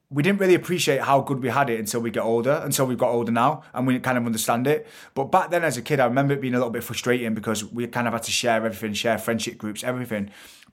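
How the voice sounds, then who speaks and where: A man speaks very fast with a Mancunian accent, barely pausing. His pitch varies in an ordinary way. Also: medium pitch for a man. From Manchester, England. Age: 30s. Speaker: entrepreneur and TV presenter. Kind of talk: casual interview chat.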